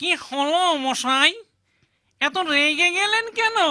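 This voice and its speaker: This cartoonish character voice is pitched extremely high. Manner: wheedling, over-polite.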